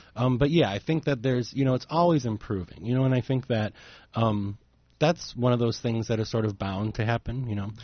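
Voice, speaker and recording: This man has an unremarkable speaking voice with an American accent. He talks at a medium pitch and a fairly quick pace. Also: ordinary pitch variation. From Chicago. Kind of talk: casual chat. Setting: studio.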